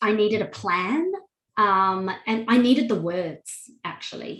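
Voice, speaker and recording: Her tone is bright and sharp, with ordinary pitch variation. This woman is heard with audible room echo. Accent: Australian. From Australia. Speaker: wedding officiant and online course creator. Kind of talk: interview testimony.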